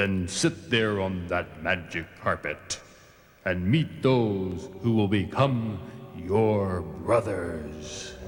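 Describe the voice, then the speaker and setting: A man's cartoonish character voice, very deep and low, at a very slow pace. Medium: puppet show. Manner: stern, commanding.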